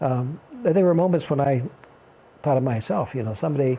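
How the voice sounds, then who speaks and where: A man with an American accent talks at a fairly quick pace and a medium pitch. His voice is somewhat breathy, with a dark, mellow tone. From Kansas. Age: 70s. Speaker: retired archbishop and author. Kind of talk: interview. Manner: halting, with frequent restarts.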